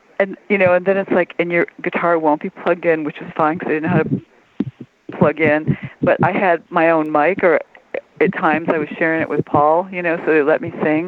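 A woman with an American accent talks at a moderate pace in a fairly low pitch. Her intonation is fairly even, with noticeable background noise behind her. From Detroit, Michigan. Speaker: music journalist. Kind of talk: interview.

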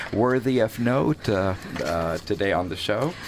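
The man's intonation is lively. Noticeable background noise runs behind him. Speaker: radio host and Arabic teacher. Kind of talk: radio interview. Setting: radio studio. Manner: enthusiastic.

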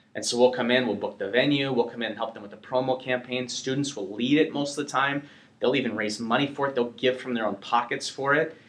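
Noticeable background noise sits behind this man with an American accent and a medium pitch. He talks at a very fast pace with fairly even intonation. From US Upper Midwest (North Dakota). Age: 30s. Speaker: evangelist. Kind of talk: interview. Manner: casual, filler-heavy.

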